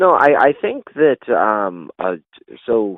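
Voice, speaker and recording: A man's medium-pitched voice in a Canadian accent, with very wide pitch swings. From Canada, Ontario. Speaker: professional wrestler. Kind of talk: interview. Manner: halting, stutters in conversation.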